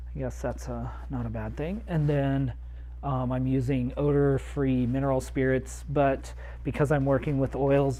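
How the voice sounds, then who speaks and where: Audible room echo colors the voice of the male speaker. He keeps a medium pace. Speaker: amateur painter livestreamer. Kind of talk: casual livestream tutorial. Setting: home studio. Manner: hesitant with frequent fillers.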